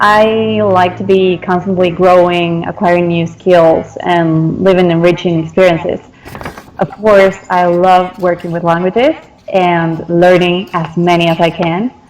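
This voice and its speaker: A fairly low-pitched woman's voice in a Spanish accent, fairly slow and flat in a monotone, over noticeable background noise. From Argentina, Salta. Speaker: translator and interpreter. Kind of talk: interview.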